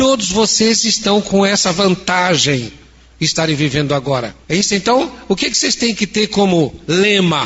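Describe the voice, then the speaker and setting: A man speaks at a moderate pace in a high pitch with lively intonation and very even loudness. Noticeable background noise runs under the recording. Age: 70s. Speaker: spiritist lecturer. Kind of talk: lecture.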